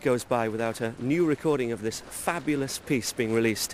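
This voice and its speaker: A man's voice against noticeable background noise. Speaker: television presenter. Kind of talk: documentary presenter narration.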